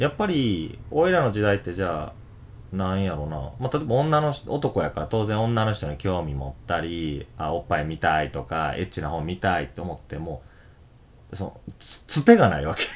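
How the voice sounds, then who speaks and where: At a moderate pace, a man with a very deep, low pitch lets it swing very widely. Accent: Kansai. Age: 30s. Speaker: podcast host. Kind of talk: casual chat. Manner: laughs often.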